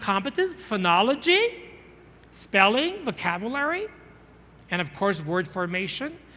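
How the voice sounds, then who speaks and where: A man with a high voice speaks in a raised, projected, animated tone with very wide pitch swings. His pace is fairly slow, with long, frequent pauses. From northern Mexico. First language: Spanish. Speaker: English teaching trainer, conference speaker. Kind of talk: conference plenary talk.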